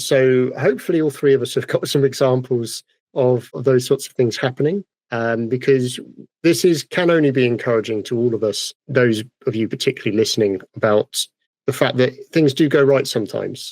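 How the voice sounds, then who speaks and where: Recorded with a dry, close sound and no echo, a man with a British accent talks at a fairly quick pace, with medium pitch and ordinary pitch variation. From United Kingdom. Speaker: podcast host, woodturner. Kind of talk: casual podcast chat. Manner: fast.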